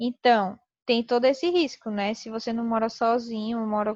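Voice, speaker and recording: A woman with an ordinary speaking voice talks at a fairly slow pace and a fairly high pitch, with fairly even intonation. The sound is dry and close with no echo, over a quiet background. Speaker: teacher. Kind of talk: lecture.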